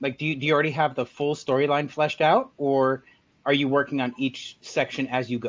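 A man with a plain, everyday voice, fairly high in pitch, at a fairly quick pace. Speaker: podcast host. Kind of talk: casual chat.

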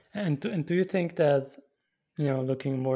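A man speaks with a German accent in a dark, mellow tone. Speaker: podcast host. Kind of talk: interview.

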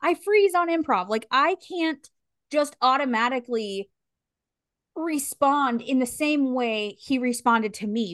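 A woman's high voice with lively intonation at a fairly slow pace, dry and close with no echo, over a quiet background. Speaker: podcast co-host. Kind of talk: casual chat.

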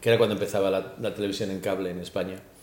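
A man's fairly low, monotone voice with flat intonation, heard with audible room echo. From Spain, raised in Australia from age 10. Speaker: comedian. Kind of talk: casual interview chat.

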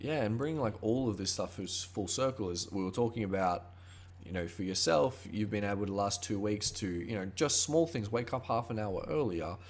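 At a moderate pace, a man with an Australian accent speaks in a fairly low, somewhat breathy voice. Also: ordinary pitch variation. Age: 20s. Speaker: podcast host. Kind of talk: casual chat.

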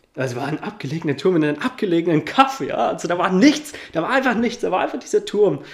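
With noticeable background noise behind him, a man talks very fast at a high pitch, swinging very widely in pitch. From Upper Franconia, Germany (Coburg). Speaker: life and business coach. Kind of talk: interview.

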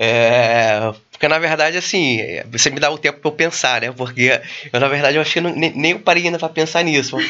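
A man talks at a fairly quick pace in a normal speaking voice. His pitch sits fairly high, with ordinary pitch variation. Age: 40s. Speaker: entrepreneur and mastermind club founder. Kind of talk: casual interview.

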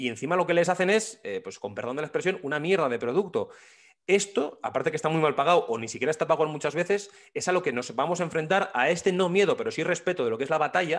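Talking at a very fast pace, a man uses lively intonation in a high-pitched voice. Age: 30s. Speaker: podcast host, journalist. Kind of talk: interview.

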